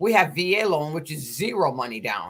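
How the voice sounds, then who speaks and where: This is a woman speaking. Her pitch is medium and her pace moderate. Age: 60s. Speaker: real estate broker and live stream host. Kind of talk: casual live stream talk. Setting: live stream. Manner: repetitive, halting.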